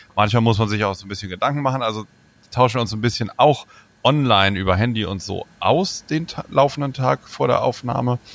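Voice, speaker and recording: Moving at a fairly quick pace, a man at medium pitch speaks with lively intonation and big swings in loudness. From northern Germany, near Bremen. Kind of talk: casual chat.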